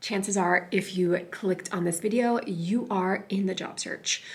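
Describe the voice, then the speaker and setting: A woman whispers at a fairly slow pace. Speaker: lifestyle and career vlogger. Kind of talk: casual vlog tutorial. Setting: library. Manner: whispering.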